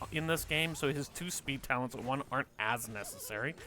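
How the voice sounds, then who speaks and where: With music in the background, a man talks at a moderate pace in a fairly high voice with lively intonation. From Canada. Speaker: esports caster. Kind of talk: live commentary.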